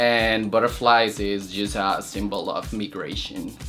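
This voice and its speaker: A Spanish accent at a fairly slow pace, with music in the background. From Colombia. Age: 20s. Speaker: drag queen competitor. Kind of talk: interview confessional.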